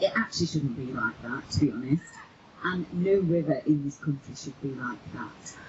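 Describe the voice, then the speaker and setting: Woman with a Manchester accent, very deep, low pitch, moderate pace, noticeable background noise. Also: ordinary pitch variation, big swings in loudness. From Manchester, northern England. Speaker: river campaign group organiser. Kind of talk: public speech. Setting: outdoors by a river.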